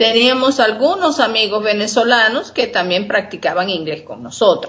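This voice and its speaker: This woman's voice sits fairly high. Her intonation is lively. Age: 60s. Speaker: retired teacher. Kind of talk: interview.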